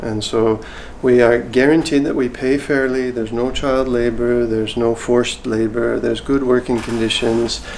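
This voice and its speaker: A man of medium pitch speaks at a fairly quick pace with fairly even intonation. Noticeable background noise and audible room echo fill the recording. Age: 60s. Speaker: fair trade foundation director. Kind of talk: interview.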